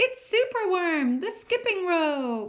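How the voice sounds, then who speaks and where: A squeaky, put-on character voice with an animated tone moves at a fairly slow pace through very wide pitch swings. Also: woman. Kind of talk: bedtime story. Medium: read story. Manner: animated, expressive.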